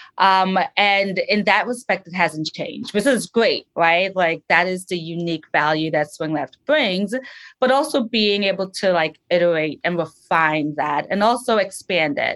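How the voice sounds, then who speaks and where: A woman speaks at a fairly slow pace in a medium pitch, her intonation lively against a quiet background. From New Jersey, US (born in Trinidad and Tobago, moved at 11). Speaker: political strategist. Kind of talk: interview.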